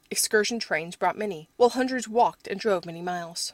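A woman's ordinary speaking voice at a fairly quick pace, with ordinary pitch variation. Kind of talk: audiobook reading. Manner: measured, formal, steady narration.

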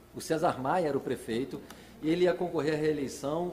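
Noticeable background noise sits under speech that has ordinary pitch variation and a moderate pace. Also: man. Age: 40s. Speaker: nightlife promoter. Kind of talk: casual chat.

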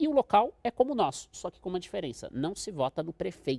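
A man talking at a very fast pace, in a dry, close recording with no echo. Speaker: international relations professor. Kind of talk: expert interview.

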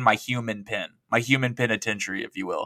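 The man has a bright, sharp tone at a medium pitch and a fairly quick pace. The recording is very clean with a silent background, dry and close with no echo. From Oklahoma. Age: 30s. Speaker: podcast guest. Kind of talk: casual chat.

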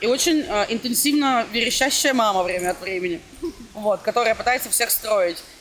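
Noticeable background noise sits under the speech. The delivery keeps a moderate pace. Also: woman, fairly high pitch for a woman, lively intonation. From Russia. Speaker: blogger and student. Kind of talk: casual interview chat.

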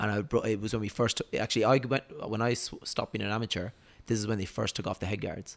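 This man speaks at a very fast pace with a southern Irish accent. His voice sits fairly low, and his intonation stays fairly even. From Ireland, Waterford (south). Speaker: professional boxer. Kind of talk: casual interview chat.

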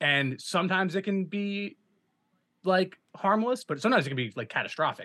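Speaking at a fairly quick pace with an American accent, a man uses a raised, projected voice that is high-pitched for a man, bright and sharp in tone, with lively intonation. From South Jersey, US. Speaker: musician and filmmaker. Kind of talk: interview.

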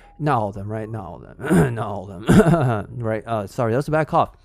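Over music in the background, a man talks at a moderate pace in an animated tone. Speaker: podcast host. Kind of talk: casual commentary monologue.

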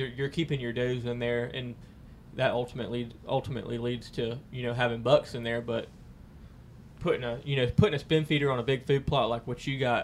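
A man's medium-pitched voice with a Southern US accent, at a fairly quick pace with fairly even intonation. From US South, Lake County (Florida). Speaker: hunter. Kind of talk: casual chat.

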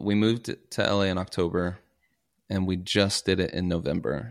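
With an American accent, a man uses an ordinary speaking voice, fairly low in pitch with fairly even intonation, on a very clean recording with a silent background. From US South, Kentucky (Paducah). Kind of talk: casual interview chat.

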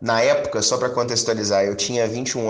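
Speaking at a fairly quick pace, a man with a medium pitch is heard with audible room echo. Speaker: podcast host, football fan. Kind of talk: podcast monologue and interview.

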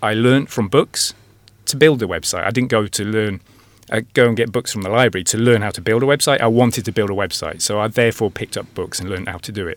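Very fast and medium in pitch, a man speaks with an English accent and ordinary pitch variation. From England. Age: 40s. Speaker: digital marketing consultant. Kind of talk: radio interview. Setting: studio.

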